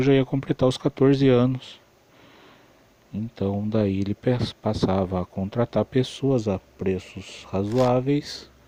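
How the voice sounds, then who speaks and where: Speaking at a fairly slow pace, a man has a dark, mellow tone and ordinary pitch variation, the sound dry and close with no echo. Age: 40s. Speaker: electronics repairman. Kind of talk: personal life story monologue.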